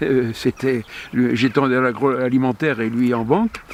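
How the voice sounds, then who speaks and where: A man's medium-pitched voice at a fairly slow pace over noticeable background noise. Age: 70s. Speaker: former international cycling commissaire. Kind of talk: interview answer.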